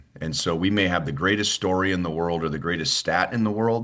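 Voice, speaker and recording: Against a quiet background, a man with an American accent speaks at a very deep, low pitch, his tone bright and sharp with ordinary pitch variation. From US West Coast, Los Angeles. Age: 50s. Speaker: baseball play-by-play announcer. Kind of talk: interview.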